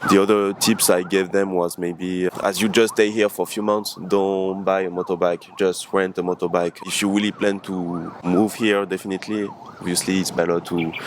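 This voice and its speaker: Over noticeable background noise, a man with a very deep, low pitch talks at a moderate pace in a monotone, flat intonation, with hardly any pauses. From France. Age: 20s. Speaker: expat interviewee. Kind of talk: interview.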